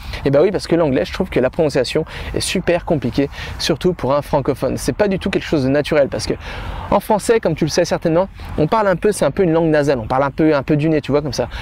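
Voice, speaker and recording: With an animated tone and a fairly high pitch, a man talks at a very fast pace over noticeable background noise. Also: ordinary pitch variation. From France. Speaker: language-learning youtuber. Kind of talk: vlog-style tutorial. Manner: halting with repetitions.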